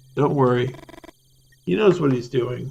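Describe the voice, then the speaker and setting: A man puts on a raspy character voice at a medium pitch, speaking at a moderate pace with lively intonation. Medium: solo performance.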